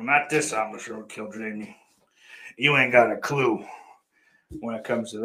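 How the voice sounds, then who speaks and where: A man puts on a raspy character voice at a medium pitch and a moderate pace. His loudness swings widely, and he takes long, frequent pauses. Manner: playful, mocking.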